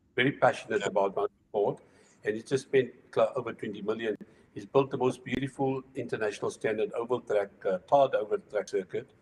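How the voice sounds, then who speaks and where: A man speaks at a medium pitch and a fairly quick pace. His voice is somewhat breathy, with lively intonation. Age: 60s. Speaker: retired racing driver. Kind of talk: casual chat.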